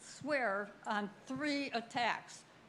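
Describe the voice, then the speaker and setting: A woman speaks at a high pitch, with audible room echo. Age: 80s+. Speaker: resident speaking at town meeting. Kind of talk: public comment at council meeting. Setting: town hall meeting with audience.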